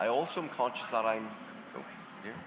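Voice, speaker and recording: Against noticeable background noise, a man speaks at a fairly low pitch. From Northern Ireland. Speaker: panelist on cyber crime, law enforcement background. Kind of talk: panel discussion.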